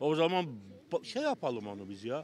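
Over light background noise, a man talks at a moderate pace with very wide pitch swings, the sound dry with no echo. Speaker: passerby interviewee; interviewee. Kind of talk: street vox pop interviews. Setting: outdoors on the street. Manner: animated, opinionated. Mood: indignant, puzzled. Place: street. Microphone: handheld.

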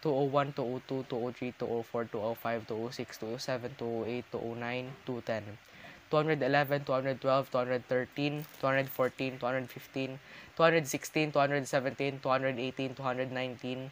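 Against light background noise, a man speaks very slowly in a monotone, flat way, the sound dry with no echo. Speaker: youtuber. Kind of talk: counting aloud, casual vlog. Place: home room. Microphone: webcam.

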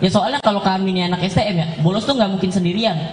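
A man talks at a very fast pace with a high pitch. Noticeable background noise runs underneath. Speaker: stand-up comedian. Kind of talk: stand-up comedy routine. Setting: stage with audience. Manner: animated; punchline-driven, self-deprecating.

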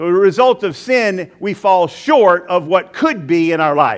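The man speaks at a moderate pace over a quiet background. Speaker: pastor. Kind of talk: sermon. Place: church. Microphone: headset.

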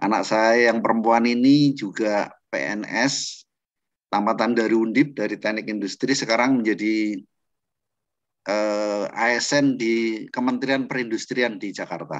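A man's very slow, fairly even delivery against a quiet background. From Central Java. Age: 60s. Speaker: trainer introducing himself. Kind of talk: lecture. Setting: video call. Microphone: video call.

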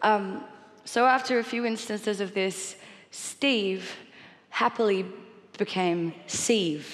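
At a very slow pace, a woman with medium pitch speaks with long, frequent pauses. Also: ordinary pitch variation. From Australia. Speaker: singer and voice actor. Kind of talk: interview answer about her stutter. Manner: reflective, candid, occasionally hesitant. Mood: wry, candid, light humour. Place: stage. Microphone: headset.

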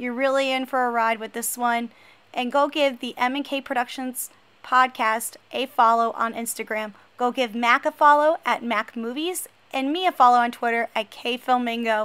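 Bright and sharp in tone, a woman speaks high in pitch with an American accent. Her pace is moderate. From New Jersey. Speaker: podcast host. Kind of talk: scripted podcast intro.

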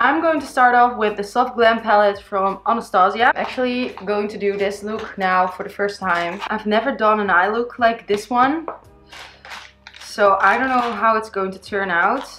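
The voice moves at a moderate pace with ordinary pitch variation while music plays in the background. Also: woman. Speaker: beauty vlogger. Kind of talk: makeup tutorial chat. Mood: cheerful and excited. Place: home room.

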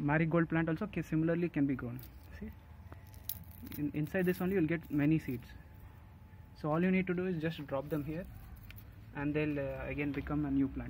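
Talking at a fairly quick pace, a man sounds somewhat breathy with fairly even intonation and a dry sound with no echo, over light background noise. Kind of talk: casual vlog chat. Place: garden. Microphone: phone near.

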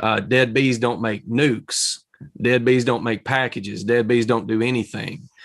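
A man talks with fairly even intonation against a quiet background. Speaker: beekeeper in an interview. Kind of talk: interview discussion. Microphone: webcam.

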